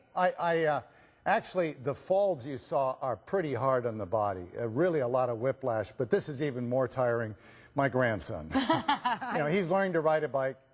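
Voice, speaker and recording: A man at medium pitch with lively intonation, a normal speaking voice, and a moderate pace. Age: 60s. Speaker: product company founder. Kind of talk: sales pitch.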